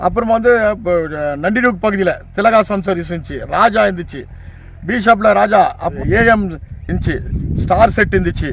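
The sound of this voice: A man with a high voice and a fairly bright tone, at a fairly quick pace with ordinary pitch variation.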